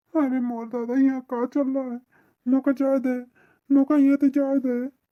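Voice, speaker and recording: A woman uses a high, cartoonish character voice. Her intonation is monotone and flat, and her pace is moderate. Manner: flustered, stammering.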